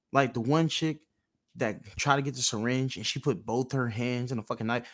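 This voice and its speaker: At a moderate pace, a man with a normal speaking voice talks with fairly even intonation on a very clean recording with a silent background. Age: 20s. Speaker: podcast host. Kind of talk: casual chat.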